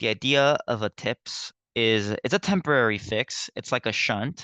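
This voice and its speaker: A man speaks at a medium pitch in a bright, sharp tone. The sound is dry and close with no echo, over a quiet background. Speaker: nursing tutor. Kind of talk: lecture. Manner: halting.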